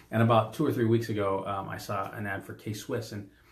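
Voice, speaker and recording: Room echo is audible in this clip. The speaker is a man. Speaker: podcast co-host, business coach. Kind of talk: casual podcast chat. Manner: loud; animated.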